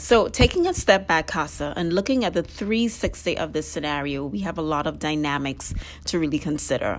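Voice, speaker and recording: Her voice sits very deep and low. The pitch rises and falls in an ordinary way. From Trinidad. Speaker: podcast host, physical therapist. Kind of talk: interview; scripted outro.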